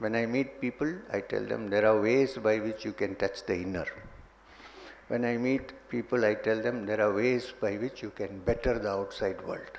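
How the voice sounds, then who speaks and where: The pace of this man's speech is moderate. Noticeable background noise can be heard. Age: 60s. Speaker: spiritual teacher. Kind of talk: spiritual talk.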